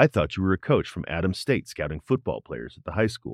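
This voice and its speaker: A man with a fairly low pitch, vocal fry and very wide pitch swings talks at a very fast pace in a very clean recording with a silent background and a dry, close sound with no echo. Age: 40s. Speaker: podcast host and first-time marathon trainee. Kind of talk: casual chat.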